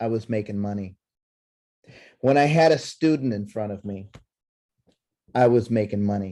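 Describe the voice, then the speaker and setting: In a dark, mellow tone, a man talks at a moderate pace with lively intonation. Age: 60s. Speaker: network marketing presenter. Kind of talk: sales pitch.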